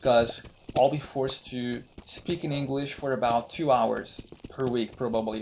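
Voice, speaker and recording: Someone with a Brazilian accent speaks at a moderate pace amid noticeable background noise. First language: Brazilian Portuguese. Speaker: gaming YouTuber. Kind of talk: gameplay commentary. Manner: halting, with restarts and repetitions.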